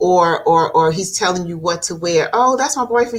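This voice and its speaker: A woman with a plain, everyday voice, fairly slow, with ordinary pitch variation. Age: 60s. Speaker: domestic abuse advocate and talk show host. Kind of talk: podcast interview. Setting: live stream.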